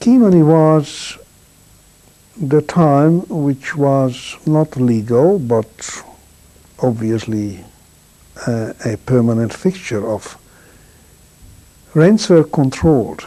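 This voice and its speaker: A man with a Hungarian accent, a fairly high voice and a dark, mellow tone, speaking very slowly with lively intonation and long, frequent pauses. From Hungary. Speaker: Holocaust survivor. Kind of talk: testimony.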